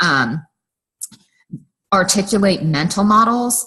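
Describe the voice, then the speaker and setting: The woman's tone is bright and sharp. She keeps a moderate pace with ordinary pitch variation. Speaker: university lecturer. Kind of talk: recorded online lecture.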